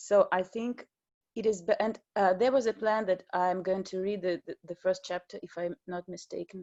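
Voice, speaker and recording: A woman speaks with a Russian accent. Her pitch varies in an ordinary way. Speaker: novelist. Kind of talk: online panel talk. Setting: video call. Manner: halting.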